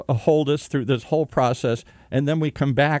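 A man speaks at a moderate pace with an American accent, his tone dark and mellow. The sound is dry and close with no echo, on a very clean recording over a silent background. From US Midwest, Michigan. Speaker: podcast host. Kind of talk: interview. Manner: animated.

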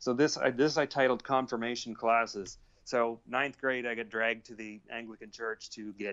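With a normal speaking voice and a Canadian accent, a man talks at a moderate pace and medium pitch, with fairly even intonation and hardly any pauses. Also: big swings in loudness. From Canada. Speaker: author and bass player. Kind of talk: casual interview. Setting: remote call with headphones.

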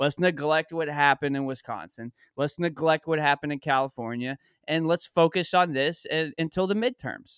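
Recorded very cleanly against a silent background, with a dry, close sound and no echo, a man in an unremarkable speaking voice talks fast-ish at a fairly high pitch. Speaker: podcaster filling in as co-host. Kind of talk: casual chat.

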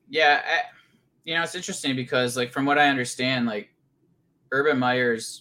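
A man's voice of medium pitch carries a bright, sharp tone. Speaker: fantasy football podcast co-host. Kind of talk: casual chat.

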